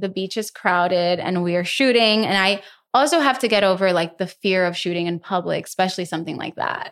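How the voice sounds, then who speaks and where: The background is silent and the recording very clean. A woman talks with a Spanish accent. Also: medium pitch for a woman, ordinary pitch variation, fairly quick pace. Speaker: content creator and influencer. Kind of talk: casual chat. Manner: animated.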